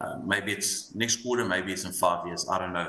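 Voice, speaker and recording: With an Afrikaans accent, a man speaks at a moderate pace amid audible room echo and noticeable background noise. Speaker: fund manager. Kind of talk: panel discussion.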